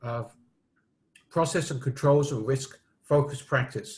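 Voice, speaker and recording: A man speaks at a fairly slow pace in a fairly high voice. His tone is somewhat breathy, with ordinary pitch variation. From United Kingdom. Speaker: risk management expert. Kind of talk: interview. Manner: hesitant with fillers.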